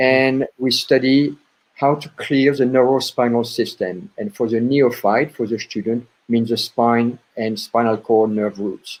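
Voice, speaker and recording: A man with a French accent talks fairly slowly at a medium pitch, with ordinary pitch variation. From France. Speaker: chiropractor. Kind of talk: interview. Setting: podcast.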